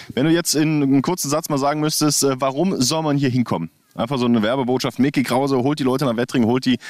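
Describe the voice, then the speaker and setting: A man with a medium pitch speaks at a very fast pace, with ordinary pitch variation and very even loudness. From Thuringia, Germany. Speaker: podcast host. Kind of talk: casual interview. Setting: outdoors by a lake.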